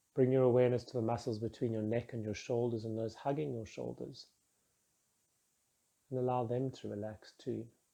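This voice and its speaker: In a dark, mellow, calm and soothing tone, a man speaks at medium pitch with fairly even intonation and long, frequent pauses. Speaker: meditation guide. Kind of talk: guided meditation. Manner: slow, calm, soothing.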